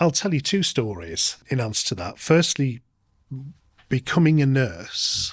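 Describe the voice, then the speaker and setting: A man with a Lancashire accent speaks at a medium pitch, his voice somewhat breathy. His pitch swings very widely. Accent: northern English, Lancashire. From northern England, Lancashire (Oldham). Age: 50s. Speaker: nurse manager. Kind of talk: podcast interview.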